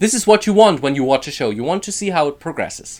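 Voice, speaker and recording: Speaking with a German accent, a man is heard on a very clean recording against a silent background. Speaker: YouTuber. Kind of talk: casual vlog.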